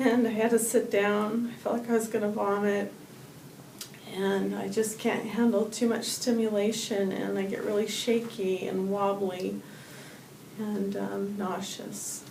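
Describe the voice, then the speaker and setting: Her medium pitch and monotone, flat intonation come at a fairly slow pace, as a woman speaks amid noticeable background noise and audible room echo. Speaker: patient. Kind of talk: testimony. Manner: soft-spoken; halting.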